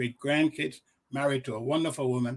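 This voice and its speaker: A man talks in a somewhat breathy voice at a medium pitch, with ordinary pitch variation. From Liberia. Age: 60s. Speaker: diplomat and commentary writer. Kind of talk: interview. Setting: studio.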